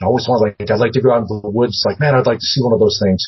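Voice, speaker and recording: A somewhat breathy man with an American accent and ordinary pitch variation. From US Northwest, Seattle. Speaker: paranormal TV producer, former news journalist. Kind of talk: casual interview.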